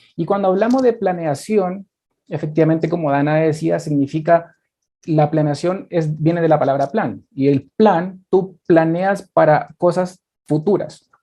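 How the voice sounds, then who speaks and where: This man speaks fairly slowly in a high pitch with a dark, mellow tone and ordinary pitch variation. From Chile. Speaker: business strategy consultant. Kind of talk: webinar presentation.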